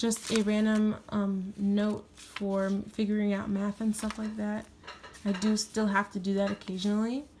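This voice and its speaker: A woman's flat, monotone delivery at a moderate pace amid noticeable background noise. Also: medium pitch for a woman. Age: 20s. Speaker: planner YouTuber. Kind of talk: tutorial. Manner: casual.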